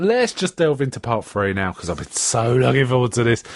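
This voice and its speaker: Here is a man with a strong South London accent. His pitch swings very widely. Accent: strong South London, Cockney-like. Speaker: podcast host. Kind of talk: casual chat. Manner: hesitant, many fillers.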